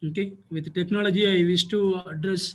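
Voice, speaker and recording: A soft-spoken man with a high pitch, talking at a fairly slow pace. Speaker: school principal. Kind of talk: webinar panel talk. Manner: formal. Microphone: too quiet.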